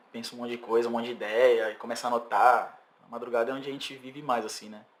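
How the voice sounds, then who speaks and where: Against noticeable background noise, a man with a medium pitch speaks very fast in a monotone, flat intonation, his loudness swinging widely. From São Vicente, São Paulo coast, Brazil. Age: 30s. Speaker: singer-songwriter. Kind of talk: casual interview.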